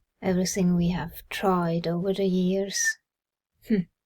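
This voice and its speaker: Speaking at a fairly slow pace, a woman with a Swiss German accent sounds somewhat breathy. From Switzerland. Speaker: personal growth vlogger. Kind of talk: casual monologue.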